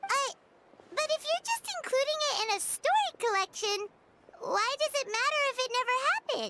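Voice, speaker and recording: Extremely high and squeaky, this is a put-on character voice. Its pace is moderate. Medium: video game. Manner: chatty, frank.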